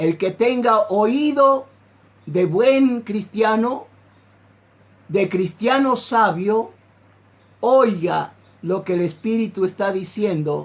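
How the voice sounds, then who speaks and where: A man speaks very slowly in a high pitch, with long, frequent pauses. His intonation is lively. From Argentina, Santiago del Estero. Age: 60s. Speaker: pastor. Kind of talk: sermon.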